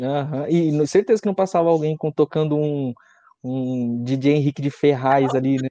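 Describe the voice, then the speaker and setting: Speaking at a moderate pace with ordinary pitch variation, a man has a fairly high pitch and a dark, mellow tone, recorded with a dry, close sound and no echo. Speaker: student interviewer. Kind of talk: live interview. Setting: livestream. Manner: casual, playful.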